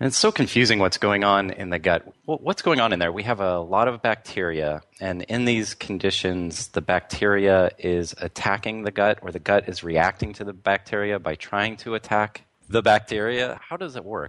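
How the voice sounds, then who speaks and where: A man with a fairly low pitch and an unremarkable speaking voice, at a moderate pace with ordinary pitch variation and hardly any pauses, in a dry, close sound with no echo and a quiet background. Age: 40s. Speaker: radio host. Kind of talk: interview.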